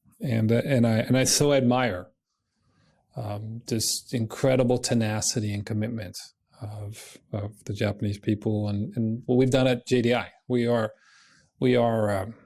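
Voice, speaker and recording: A man of medium pitch with an American accent, dark, mellow tone and fairly even intonation, at a moderate pace against a quiet background. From United States. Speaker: company chief executive. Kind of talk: corporate presentation. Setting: web conference.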